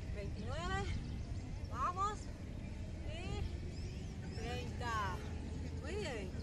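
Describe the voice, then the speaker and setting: A woman over loud background noise, in a dry sound with no echo. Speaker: fitness instructor. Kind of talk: workout coaching, counting reps. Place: street.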